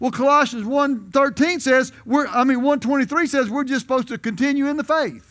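A man projects a raised voice at an extremely high pitch for a man. His tone is bright and sharp, and his pace is moderate. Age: 70s. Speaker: visiting preacher. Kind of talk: sermon. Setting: church.

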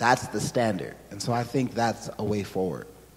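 A man with an American accent speaks at a moderate pace in a plain, everyday voice. His pitch sits in the medium range, with ordinary pitch variation. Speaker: church member sharing experience. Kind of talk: personal testimony interview.

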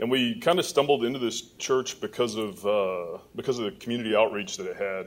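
With an American accent and lively intonation, a man talks in an unremarkable speaking voice. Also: medium pitch for a man, fairly quick pace. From Michigan. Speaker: judge. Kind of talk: testimony. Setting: church.

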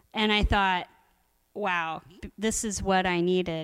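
Recorded very cleanly against a silent background, a woman speaks with a fairly low pitch. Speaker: storyteller. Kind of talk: humorous personal storytelling. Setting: stage with audience. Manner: animated, wry, laughing.

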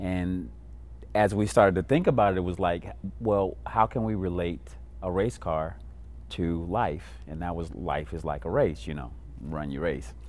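A man's very deep, low voice with vocal fry and very wide pitch swings, with an American accent, plus audible room echo. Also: moderate pace. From Illinois, Kankakee County. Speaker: pastor and youth violence prevention coordinator. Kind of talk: interview.

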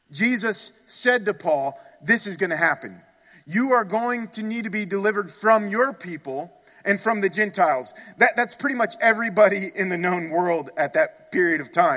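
A man with a high pitch uses a raised, projected voice, a bright, sharp tone and lively intonation at a moderate pace. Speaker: pastor. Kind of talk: sermon. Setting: church. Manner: earnest, emphatic preaching, pressing listeners directly.

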